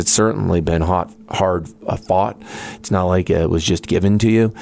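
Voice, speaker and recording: Through noticeable background noise, a man with a very deep, low voice speaks at a moderate pace with ordinary pitch variation. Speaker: radio host. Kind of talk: radio interview. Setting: studio.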